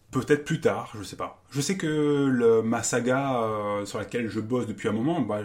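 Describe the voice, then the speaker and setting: A man with lively intonation talks at a moderate pace and a medium pitch. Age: 40s. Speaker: math teacher and writer. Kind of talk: interview. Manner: halting.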